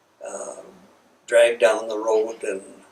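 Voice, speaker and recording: There's an American accent in this male speaker's voice. He talks very slowly. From central Minnesota, US. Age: 80s+. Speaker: war veteran. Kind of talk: oral history interview. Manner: hesitant, many fillers. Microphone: poor recording quality.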